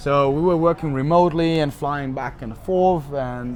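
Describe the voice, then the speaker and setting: Over noticeable background noise, a man with a German accent speaks at a fairly slow pace and fairly high pitch, his intonation fairly even. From Germany, Munich. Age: 20s. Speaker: podcast guest, sales worker at a tech company. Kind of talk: casual interview.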